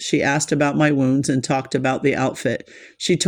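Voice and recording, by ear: The text is read out in a natural-sounding voice.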